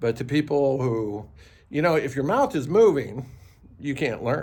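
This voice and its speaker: A fairly slow pace in an American accent. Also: man. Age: 60s. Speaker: vlogger. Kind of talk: casual monologue. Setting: outdoors.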